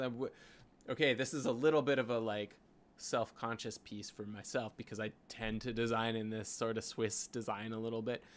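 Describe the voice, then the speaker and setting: At a moderate pace, a man with a medium pitch talks with a Canadian accent. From Canada. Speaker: graphic designer. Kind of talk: casual livestream design commentary. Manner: hesitant, filler-heavy.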